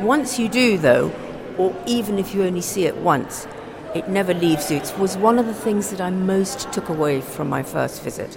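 Over noticeable background noise and audible room echo, a woman speaks at medium pitch and a moderate pace with lively intonation. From Africa. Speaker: culture journalist. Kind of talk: guided tour conversation.

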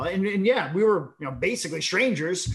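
With noticeable background noise behind him, a man talks at a fairly quick pace in a high pitch with lively intonation. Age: 40s. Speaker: startup founder. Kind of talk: interview. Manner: halting.

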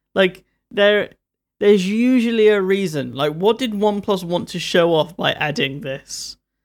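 A man with a London accent speaks at a high pitch with ordinary pitch variation. The recording is very clean, with a silent background. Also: moderate pace. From London, England. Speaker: tech reviewer. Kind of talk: casual chat.

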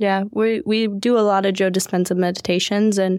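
Dry, close sound with no echo carries a woman's voice. She speaks at a medium pitch with monotone, flat intonation. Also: very clean recording, silent background. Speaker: podcast host and events business co-owner. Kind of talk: casual interview chat.

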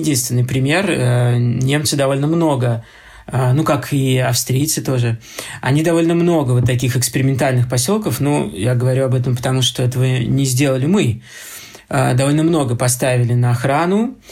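Against noticeable background noise, a man at a medium pitch speaks at a moderate pace, with very even loudness and ordinary pitch variation. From Moscow, Russia. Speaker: architecture critic and lecturer. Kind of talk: lecture. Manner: halting, many filler sounds.

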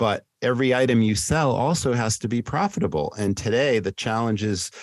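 A normal speaking voice at a moderate pace with ordinary pitch variation, a dry, close sound with no echo, and a very clean recording, silent background. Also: man. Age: 60s. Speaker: restaurant consultant and trainer. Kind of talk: casual interview chat.

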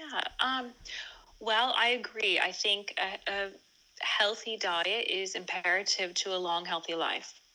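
A woman with an American accent speaks at a fairly slow pace and medium pitch. Her tone is bright and sharp, with ordinary pitch variation. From California. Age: 40s. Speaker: food and nutrition educator, summit founder. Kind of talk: interview conversation.

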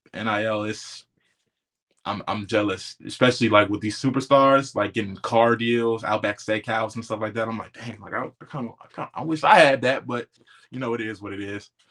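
A man with an unremarkable speaking voice at medium pitch talks at a moderate pace, his intonation fairly even and his loudness swinging widely. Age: 20s. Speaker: former college football player. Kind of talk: casual interview chat.

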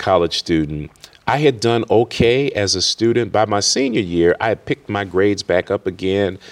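In a normal speaking voice, a man at fairly low pitch speaks at a moderate pace with ordinary pitch variation and a dry, close sound with no echo. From Worcester, Massachusetts. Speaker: college president and pastor. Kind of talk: interview.

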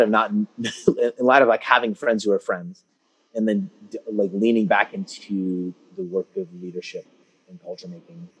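Recorded dry and close with no echo, a man with a Californian accent speaks at medium pitch with lively intonation. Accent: Californian American English. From US West Coast (Concord, California). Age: 40s. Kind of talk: casual interview.

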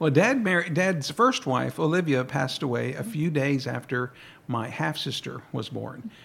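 A man speaks in an American accent with a fairly high pitch. His intonation is lively, and there is vocal fry in his voice. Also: moderate pace. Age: 60s. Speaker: guest sharing family history. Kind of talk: radio interview. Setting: radio studio.

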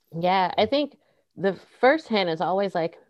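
A woman talks at a moderate pace. Her voice has vocal fry. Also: quiet background. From US Midwest. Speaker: diversity, equity and inclusion consultant. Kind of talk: casual interview chat. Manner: energetic.

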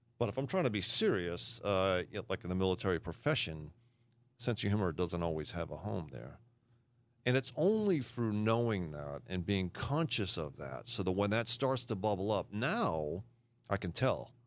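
A man with an American accent and a fairly low pitch, a normal speaking voice, lively intonation and a moderate pace, on a very clean recording with a silent background. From Massachusetts. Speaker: retired army officer and leadership coach. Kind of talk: casual chat.

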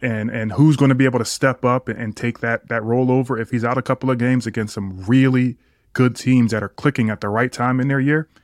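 A man talks fairly quickly in an ordinary speaking voice, at a medium pitch with fairly even intonation. The sound is dry and close, with no echo. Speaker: podcast co-host, former college basketball player. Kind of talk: casual sports chat.

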